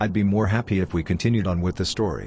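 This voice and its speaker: A man growls in a cartoonish character voice with a very deep, low pitch and fairly even intonation. He talks very fast over clear background noise. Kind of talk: storybook narration. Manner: calm, dry.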